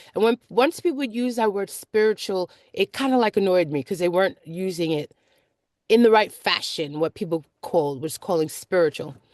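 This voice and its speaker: Here a woman speaks at a medium pitch with lively intonation. The background is quiet, and the sound is dry and close with no echo. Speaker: vlogger. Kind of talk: casual vlog monologue. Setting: in a car. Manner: fast.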